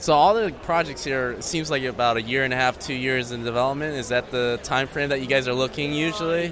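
A man's medium-pitched voice, fairly quick with hardly any pauses and ordinary pitch variation, over noticeable background noise. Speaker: interviewer at event. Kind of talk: casual interview. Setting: trade show floor.

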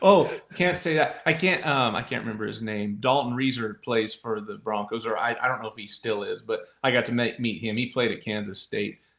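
A man with a plain, everyday voice and an American accent talks fairly quickly at a medium pitch with ordinary pitch variation and hardly any pauses. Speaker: podcast host, retired rodeo rider turned broadcaster. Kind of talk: casual chat.

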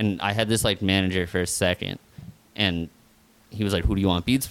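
A man with an American accent, a very deep, low pitch, vocal fry and ordinary pitch variation. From northeastern Pennsylvania. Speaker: musician. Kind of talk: casual chat. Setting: studio.

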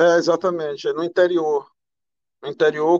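In a dry, close sound with no echo, a man with a high pitch speaks at a moderate pace in a monotone, flat intonation. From Brazil, Amazonas (Manaus). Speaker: judge. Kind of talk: interview. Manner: halting, repeats words.

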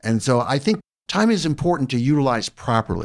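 Against a quiet background, a man speaks at a medium pitch. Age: 60s. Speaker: business founder and executive chairman. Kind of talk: casual interview conversation. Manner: energetic, animated.

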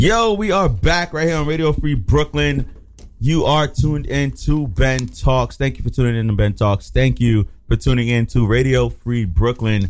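A medium-pitched male voice at a moderate pace with lively intonation. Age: 20s. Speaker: radio host. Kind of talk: casual chat. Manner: animated.

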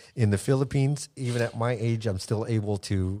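A man's dark, mellow tone comes through in a very clean recording with a silent background. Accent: American. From United States. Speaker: percussionist and radio DJ. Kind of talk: casual chat.

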